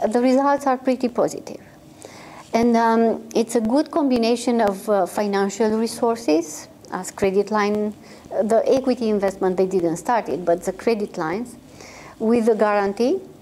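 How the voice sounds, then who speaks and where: Against noticeable background noise, a woman speaks with a fairly high pitch. Her pace is moderate, with ordinary pitch variation. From Romania. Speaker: microfinance consultancy executive. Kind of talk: interview. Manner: halting, many fillers.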